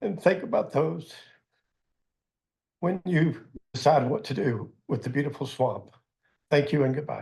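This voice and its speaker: Somewhat breathy and fairly slow, a man speaks at a fairly high pitch with ordinary pitch variation. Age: 70s. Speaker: public commenter. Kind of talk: public comment.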